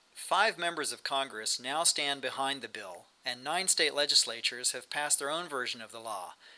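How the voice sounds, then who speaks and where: A man with a fairly high pitch speaks at a moderate pace in an ordinary speaking voice. His loudness swings widely from moment to moment. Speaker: news narrator. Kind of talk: news report narration.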